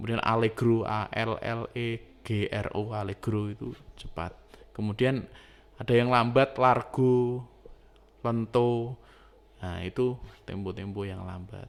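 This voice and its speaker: A man speaks at a very slow pace with fairly even intonation. His loudness swings widely. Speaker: music teacher. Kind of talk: lecture. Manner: casual, hesitant with fillers.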